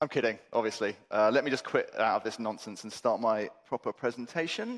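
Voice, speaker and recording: A man with a British accent at a fairly quick pace, on a very clean recording with a silent background. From England. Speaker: conference keynote speaker. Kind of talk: conference talk. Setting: stage with audience. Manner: animated.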